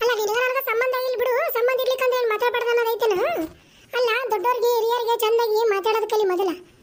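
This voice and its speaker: In a cartoonish character voice, a woman speaks at an extremely high pitch, monotone and flat, at a moderate pace. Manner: scolding, sharp-tongued.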